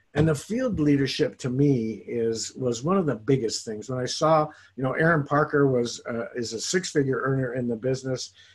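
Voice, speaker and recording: Somewhat breathy and at a medium pitch, a man speaks with hardly any pauses. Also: ordinary pitch variation, moderate pace. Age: 60s. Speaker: network marketing distributor. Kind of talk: interview testimony. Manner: animated.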